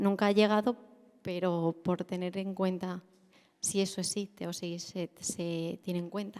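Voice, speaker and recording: This soft-spoken voice moves at a fairly slow pace with monotone, flat intonation. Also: woman, medium pitch for a woman. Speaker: audience member asking a question. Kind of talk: conference Q&A question.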